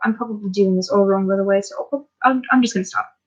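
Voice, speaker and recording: At a very fast pace, a woman talks in a somewhat breathy voice with ordinary pitch variation. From Minnesota, US. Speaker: YouTuber. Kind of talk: casual chat. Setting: home livestream. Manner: hesitant, many ums. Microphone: laptop mic, poor quality.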